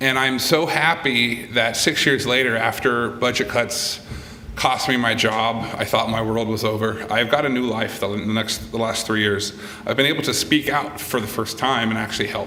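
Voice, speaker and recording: A man speaks with fairly even intonation. Room echo is audible. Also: medium pitch for a man, moderate pace. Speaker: activist, former law enforcement. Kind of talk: press conference statement. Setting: press conference. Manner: halting, repeats words.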